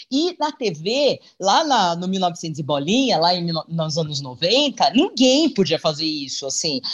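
The speaker talks at a very slow pace with hardly any pauses. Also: quiet background. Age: 50s. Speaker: TV presenter and journalist. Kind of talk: casual interview chat.

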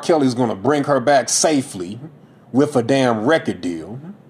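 The delivery is animated, with ordinary pitch variation. Noticeable background noise runs underneath. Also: man. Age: 30s. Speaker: podcaster. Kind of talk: solo podcast monologue, casual commentary. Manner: animated, casual, profane.

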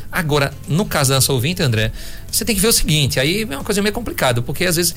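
Speech comes at a very fast pace. Noticeable background noise is present. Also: man. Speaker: physician doing ultrasound. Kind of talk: radio health talk.

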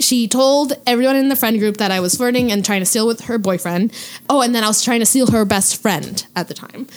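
Over noticeable background noise, a woman with a Canadian accent speaks fairly quickly at a fairly high pitch with ordinary pitch variation. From Quebec, Hull (Gatineau). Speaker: podcast co-host guest. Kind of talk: casual chat.

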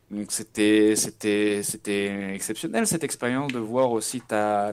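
A man's fairly slow speech is caught on a very clean recording with a silent background. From western France (Nantes). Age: 20s. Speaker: esports player and streamer. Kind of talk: interview. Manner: halting.

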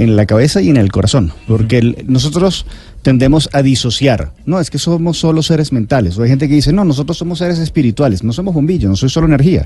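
Rushing at a very fast pace with hardly any pauses, a man uses a fairly high pitch, a somewhat breathy, dark, mellow tone, and lively intonation. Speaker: health author and speaker. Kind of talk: interview answering listener questions.

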